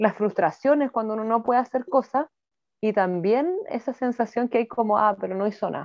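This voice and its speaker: This woman's voice sits at a fairly high pitch. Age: 30s. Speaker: mayor. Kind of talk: interview.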